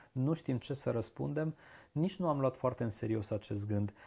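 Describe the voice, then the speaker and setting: Against a quiet background, a somewhat breathy voice with a dark, mellow tone carries lively intonation. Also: man. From Transylvania, Romania (Arad, Cluj); Transylvania, Romania. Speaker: diction teacher. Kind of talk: interview conversation. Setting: shop. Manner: slow, mellow drawl. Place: home room. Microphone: lapel.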